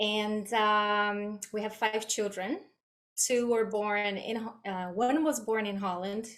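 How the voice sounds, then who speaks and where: This woman speaks with a Brazilian accent. Her pace is fairly slow. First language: Portuguese. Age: 40s. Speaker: guest mother with chronic illness. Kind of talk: podcast interview.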